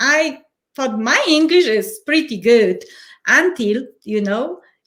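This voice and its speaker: A woman with a Polish accent speaks very slowly in a high voice, her pitch swinging very widely. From Poland. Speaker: change and transition coach. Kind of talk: interview.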